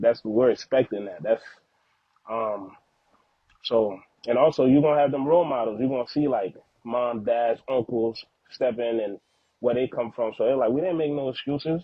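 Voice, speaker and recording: A man with an American accent talks at a moderate pace and a medium pitch, with ordinary pitch variation. He leaves long, frequent pauses. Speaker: father, podcast guest. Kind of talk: casual interview chat.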